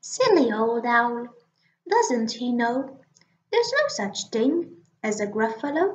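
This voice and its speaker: Using a put-on character voice, the speaker goes at a fairly slow pace with long, frequent pauses. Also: woman, high pitch for a woman. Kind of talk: children's picture book reading. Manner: cheeky, boastful, confident.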